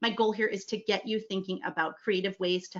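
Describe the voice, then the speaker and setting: This woman has a fairly high pitch. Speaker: email marketing conference speaker. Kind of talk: conference presentation. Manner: fast; animated.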